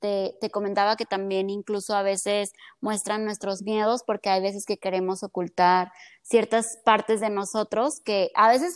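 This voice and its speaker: With a Mexican accent, a woman speaks at medium pitch with fairly even intonation in a dry, close sound with no echo, on a very clean recording with a silent background. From Mexico (Colima). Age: 20s. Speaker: psychologist and entrepreneur. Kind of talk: casual chat.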